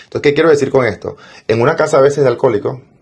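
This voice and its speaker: A man with a Venezuelan accent talks at a very fast pace. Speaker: entrepreneur and financial mentor. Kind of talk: interview.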